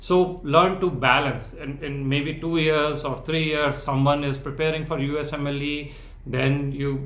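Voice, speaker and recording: With an American accent, a man talks at a fairly slow pace in a fairly high pitch and fairly even intonation, over noticeable background noise and audible room echo. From India. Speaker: founder of a medical residency support organization. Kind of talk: interview.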